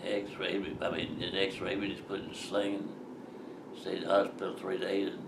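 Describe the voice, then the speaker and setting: Delivered at a moderate pace in a Southern US accent, this voice comes with noticeable background noise. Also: man. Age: 80s+. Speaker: war veteran. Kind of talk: interview answer.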